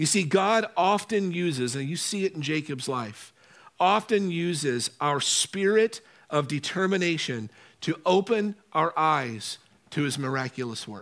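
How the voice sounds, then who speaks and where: The speaker is a man with a high voice. He uses lively intonation. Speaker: pastor. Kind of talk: sermon. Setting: church. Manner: slow.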